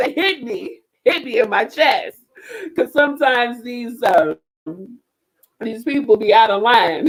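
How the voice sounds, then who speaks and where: A woman speaks loudly in an animated tone, her high pitch moving in very wide swings. Her pace is fairly slow, with long, frequent pauses. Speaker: slam poet. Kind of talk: talk to an online audience.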